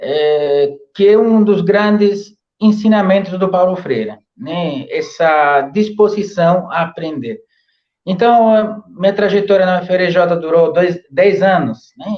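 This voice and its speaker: A man's high-pitched voice in an Italian accent, very slow in pace, with ordinary pitch variation. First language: Italian (speaking Portuguese). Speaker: professor. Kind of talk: interview. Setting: live stream. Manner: halting, many fillers.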